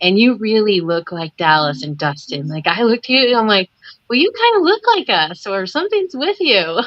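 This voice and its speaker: A fairly quick woman in a Midwestern American accent, fairly high in pitch, with very wide pitch swings. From Nebraska. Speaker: kayak angler. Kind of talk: casual chat. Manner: animated.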